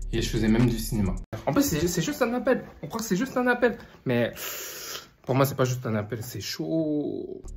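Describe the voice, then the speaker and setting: A man speaks with a fairly high pitch and very wide pitch swings, leaving long, frequent pauses. Noticeable background noise runs under his voice. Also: moderate pace. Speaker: online business vlogger. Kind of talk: vlog narration. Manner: casual, informal.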